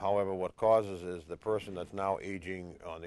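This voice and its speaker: A man speaks with an American accent at a very deep, low pitch. His pace is fairly quick and his intonation fairly even. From Revere, Massachusetts (Boston area). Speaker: housing authority board chair. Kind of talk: local TV interview. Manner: halting, many fillers.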